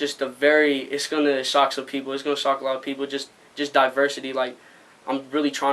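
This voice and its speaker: A man with an American accent talks fairly quickly at a fairly high pitch. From Arizona. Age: young. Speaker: rapper. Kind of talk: interview. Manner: halting.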